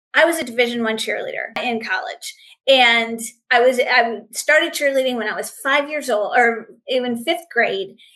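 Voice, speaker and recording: A woman uses a raised, projected voice with a bright, sharp tone, high pitch, ordinary pitch variation and a moderate pace. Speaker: author marketing coach. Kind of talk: online training webinar.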